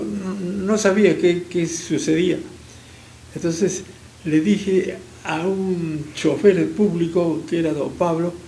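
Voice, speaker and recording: Noticeable background noise and audible room echo surround a man with a high pitch. He speaks at a very slow pace with fairly even intonation. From Peru, Arequipa. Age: 80s+. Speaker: engineer, businessman and former politician. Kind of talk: interview, personal storytelling. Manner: halting with stammered repeats.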